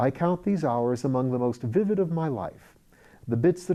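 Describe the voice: This is plain reading aloud. Its intonation stays lively.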